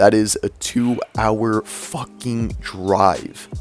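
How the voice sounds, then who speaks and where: With music in the background, a man talks in a medium pitch. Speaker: YouTuber. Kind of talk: commentary vlog. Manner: halting, stuttering.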